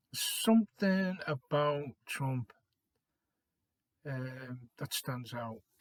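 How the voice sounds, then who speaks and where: A man talks very slowly with long, frequent pauses in a somewhat breathy, fairly high voice with lively intonation and a dry, close sound with no echo. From Liverpool, England. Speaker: vlogger. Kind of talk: casual opinion monologue. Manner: hesitant, many fillers.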